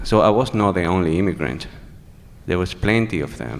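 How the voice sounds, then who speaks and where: A man with a Venezuelan accent and a fairly low pitch. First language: Spanish. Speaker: HIV activist. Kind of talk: testimony. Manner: halting.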